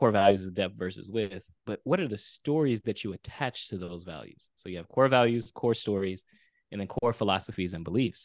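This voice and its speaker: An unremarkable speaking voice: a man with a fairly low pitch, ordinary pitch variation and a moderate pace. The sound is dry and close with no echo, over a quiet background. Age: 30s. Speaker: video storyteller and author. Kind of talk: interview storytelling.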